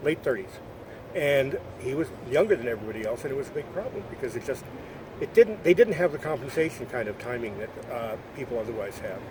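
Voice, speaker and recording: The speech is very fast yet broken by long, frequent pauses, with very wide pitch swings and big shifts in loudness. Noticeable background noise runs underneath. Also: man, fairly high pitch for a man. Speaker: documentary filmmaker and former teacher met by chance. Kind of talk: casual chat. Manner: mumbling.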